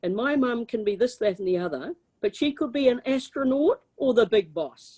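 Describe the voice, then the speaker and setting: A woman's fairly high, dark and mellow voice in a New Zealand accent, with lively intonation at a moderate pace. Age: 70s. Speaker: former politician. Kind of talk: lecture Q&A. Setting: video call. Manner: animated.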